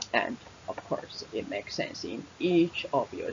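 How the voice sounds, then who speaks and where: A woman with a Taiwanese accent at a fairly slow pace, over noticeable background noise. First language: Mandarin Chinese. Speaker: English teacher. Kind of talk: webinar presentation. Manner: halting, many fillers.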